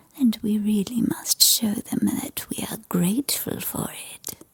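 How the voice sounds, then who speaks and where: Soft-spoken, a woman whispers at a very slow pace. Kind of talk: ASMR bedtime story reading. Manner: whispered, soft-spoken.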